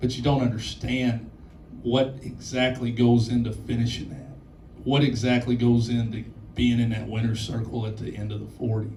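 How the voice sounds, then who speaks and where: This man's voice has a dark, mellow tone and medium pitch, somewhat breathy, moving at a fairly quick pace with audible room echo. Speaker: college basketball head coach. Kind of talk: post-game press conference.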